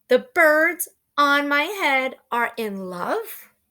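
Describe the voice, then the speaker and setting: A put-on character voice from a woman, high-pitched, raised and projected, very slow, on a very clean recording with a silent background. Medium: read story. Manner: anxious, fretful.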